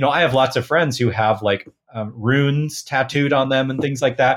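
An unremarkable speaking voice, male, medium-pitched, with an American accent, a moderate pace and ordinary pitch variation. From US Pacific Northwest (Portland, Oregon). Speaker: folk magic practitioner. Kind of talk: interview conversation.

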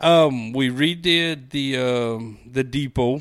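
Recorded very cleanly against a silent background, a man speaks with a Cajun accent. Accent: Cajun Louisiana English. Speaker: small-town mayor. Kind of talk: casual interview.

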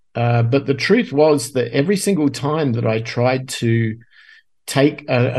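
Over a quiet background, a man talks at a medium pitch with ordinary pitch variation. His tone is dark and mellow, and somewhat breathy. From Australia. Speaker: guest podcaster and musician. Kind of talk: casual interview.

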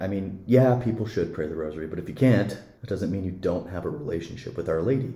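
A man with an American accent speaks at a fairly quick pace in a fairly low, somewhat breathy voice with a dark, mellow tone and lively intonation, with audible room echo. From Montana (Billings). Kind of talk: interview about faith.

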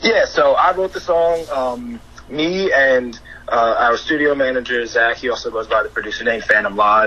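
Against noticeable background noise, a man with a New York accent talks at a moderate pace. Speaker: DJ and music producer. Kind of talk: casual interview chat.

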